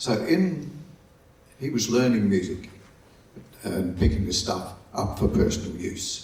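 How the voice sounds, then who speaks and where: With audible room echo around him, a man with an Australian accent talks fairly slowly in a somewhat breathy voice with ordinary pitch variation. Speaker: folk music archivist. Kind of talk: conference presentation. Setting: conference hall with audience, microphone. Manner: halting.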